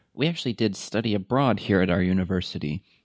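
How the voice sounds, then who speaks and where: A man with a Californian accent, his voice very deep and low, in a dry, close recording free of echo. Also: quiet background. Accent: Californian American English. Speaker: podcast co-host, university staff. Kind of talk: casual chat. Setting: studio.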